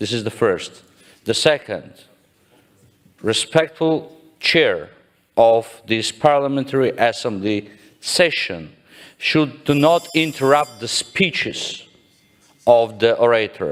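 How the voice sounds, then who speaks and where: With a non-native accent, a man speaks at a very slow pace with long, frequent pauses, his fairly high pitch showing ordinary variation. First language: not English. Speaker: parliamentarian, delegate. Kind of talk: parliamentary point of order. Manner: formal.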